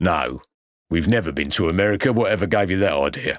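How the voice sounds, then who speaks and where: A man puts on a gruff, growling character voice, its pitch very deep and low. He rattles along at a very fast pace. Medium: read story. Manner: gruff, growling, aggressive.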